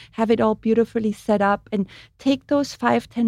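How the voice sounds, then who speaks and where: In an Austrian accent, a woman speaks at a moderate pace with a fairly high pitch and fairly even intonation, in a very clean recording with a silent background and a dry, close sound with no echo. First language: German. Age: 50s. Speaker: makeup artist. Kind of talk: casual chat. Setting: studio.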